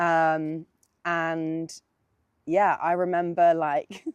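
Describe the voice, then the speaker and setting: Speaking in a London accent, a woman keeps a fairly low pitch and monotone, flat intonation. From South East London. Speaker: singer-songwriter. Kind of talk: casual interview. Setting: outdoors.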